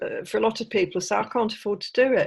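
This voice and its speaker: A woman talks at a very fast pace. She has an English accent. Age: 60s. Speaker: author. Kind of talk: interview. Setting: podcast interview.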